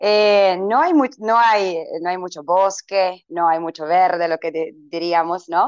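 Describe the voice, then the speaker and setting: A woman with a Croatian accent speaks very slowly, with hardly any pauses. Her pitch is medium, with ordinary variation. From Croatia, Vinkovci. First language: Croatian (speaking Spanish). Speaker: English teacher. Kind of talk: interview. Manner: halting, many fillers.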